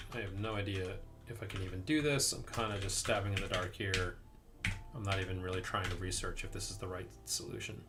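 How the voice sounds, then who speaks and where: Over background music and audible room echo, a man with an American accent talks at a very fast pace, his fairly low pitch showing ordinary variation. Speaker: indie game developer streaming live coding. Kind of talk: live coding stream, thinking aloud. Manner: casual, hesitant with fillers.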